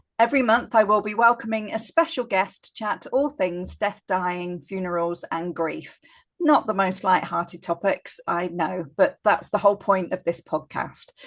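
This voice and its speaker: Over a quiet background, a woman with a plain, everyday voice talks at a moderate pace in a medium pitch, her intonation lively and hardly any pauses between phrases. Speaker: funeral celebrant. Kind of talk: podcast conversation.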